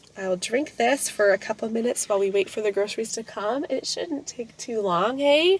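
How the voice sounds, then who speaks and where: A woman's fairly high voice rises and falls in lively intonation against noticeable background noise. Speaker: family vlogger, homeschool mom. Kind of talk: casual vlog talk. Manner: chatty, casual.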